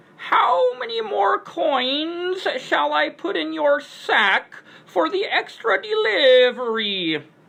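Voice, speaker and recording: A woman does a squeaky, put-on character voice with a high pitch and very wide pitch swings. She goes at a very slow pace with hardly any pauses. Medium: read story. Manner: drags out syllables, paternal and courteous.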